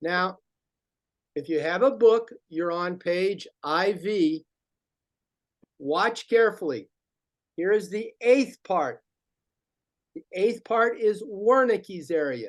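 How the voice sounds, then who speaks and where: The speaker talks at a very slow pace with long, frequent pauses and lively intonation. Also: man, high pitch for a man. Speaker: teacher trainer. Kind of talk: workshop presentation. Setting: video broadcast. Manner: animated.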